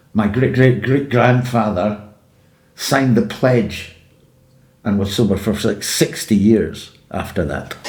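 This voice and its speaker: A man with an Edinburgh accent at a fairly slow pace, with ordinary pitch variation, long, frequent pauses and audible room echo. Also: medium pitch for a man. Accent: Scottish (Edinburgh). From Scotland, Edinburgh. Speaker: podcast guest in recovery from addiction. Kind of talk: personal life story.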